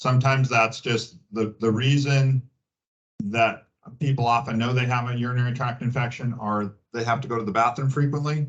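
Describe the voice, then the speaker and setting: A man talks at a moderate pace in a medium pitch, his voice somewhat breathy and his intonation fairly even. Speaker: gynecologist. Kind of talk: public health talk, Q&A. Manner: halting, many fillers.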